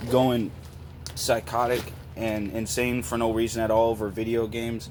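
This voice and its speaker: Background noise is noticeable. The man's pitch is medium. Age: 20s. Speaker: YouTuber. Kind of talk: response video rant. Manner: animated.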